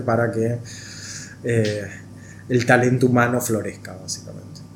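Somewhat breathy, a man of medium pitch speaks at a moderate pace with audible room echo around him. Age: 40s. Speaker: NGO executive director, former hockey player. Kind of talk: interview.

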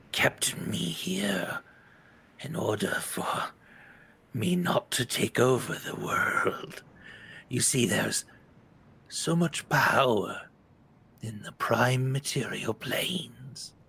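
With long, frequent pauses and a very slow pace, a man performs a raspy, put-on character voice at a medium pitch. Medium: actual play. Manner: menacing, condescending.

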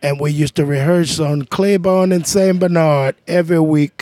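A fairly high-pitched man with a New Orleans accent, at a moderate pace, in a dry, close sound with no echo. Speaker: jazz trumpeter and band leader. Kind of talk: casual interview chat.

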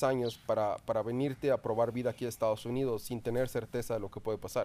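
A man's dark, mellow voice at a fairly quick pace. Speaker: podcast host. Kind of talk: casual interview. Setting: home recording.

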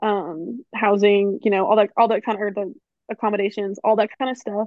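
A woman talks at a fairly quick pace with fairly high pitch and fairly even intonation. She has a normal speaking voice. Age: 20s. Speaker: student podcast co-host. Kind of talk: casual chat. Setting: video call.

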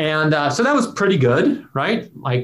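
Here is a man with a plain, everyday voice. He speaks at a moderate pace with lively intonation. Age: 40s. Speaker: philosophy professor and podcast co-host. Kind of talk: casual conversation.

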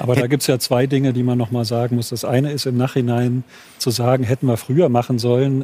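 A man talks at a very fast pace in a monotone, flat intonation. Noticeable background noise runs underneath. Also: medium pitch for a man. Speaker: physician and author. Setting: studio.

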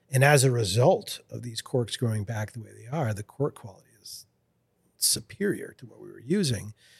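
Speaking at a moderate pace, a man with a medium-pitched, somewhat breathy voice uses lively intonation and big swings in loudness. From Lewiston, Maine (French Canadian family). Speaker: fly rod company founder. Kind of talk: casual interview.

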